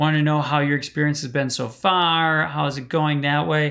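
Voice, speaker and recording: An American man speaks at a moderate pace in a fairly high pitch. The recording is very clean, with a silent background. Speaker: live-stream coach on social media marketing. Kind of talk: live stream talk. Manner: casual, filler-heavy.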